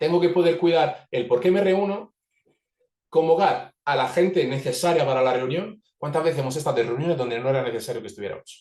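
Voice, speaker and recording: The voice has a dark, mellow tone, lively intonation and a fairly quick pace. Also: man, high pitch for a man. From Italy. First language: Italian (speaking Spanish). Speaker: organizational facilitator. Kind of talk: webinar talk. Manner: fast.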